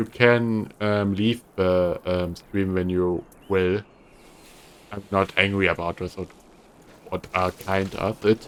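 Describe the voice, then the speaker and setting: A man with a German accent speaks at a very slow pace, with long, frequent pauses. His fairly low voice has monotone, flat intonation. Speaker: streamer playing a video game. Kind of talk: casual gameplay commentary. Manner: halting.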